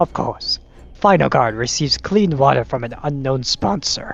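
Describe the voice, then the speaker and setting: Using a put-on, raspy character voice, a man talks at a medium pitch. His pace is moderate. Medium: voice reel. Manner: dry, sardonic.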